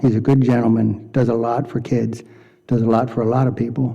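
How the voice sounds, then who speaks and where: This man speaks at a medium pitch in a dark, mellow tone, with monotone, flat intonation. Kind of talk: public meeting remarks. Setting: county board meeting. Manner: soft-spoken.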